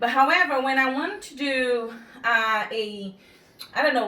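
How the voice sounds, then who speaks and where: Audible room echo surrounds a woman whose bright, sharp tone comes at a fairly slow pace. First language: not English. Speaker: home cooking instructor. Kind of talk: cooking tutorial. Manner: halting, filler-heavy.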